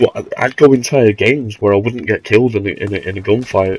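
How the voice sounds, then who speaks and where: Over noticeable background noise, a man talks at a moderate pace with a fairly low pitch and fairly even intonation. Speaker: gamer. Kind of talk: casual gameplay commentary. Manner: hesitant, rambling.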